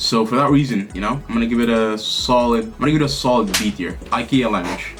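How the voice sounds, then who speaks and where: Music plays in the background as a man talks at a very fast pace and medium pitch. The room echo is audible. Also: ordinary pitch variation. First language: Arabic. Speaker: language YouTuber. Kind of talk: casual tier-list commentary. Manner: animated.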